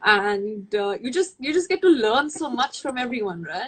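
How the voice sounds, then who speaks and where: Speaking in an Indian accent, a woman keeps a moderate pace. Her pitch is high. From India, New Delhi. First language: Hindi. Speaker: makeup artist. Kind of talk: casual chat. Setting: video call.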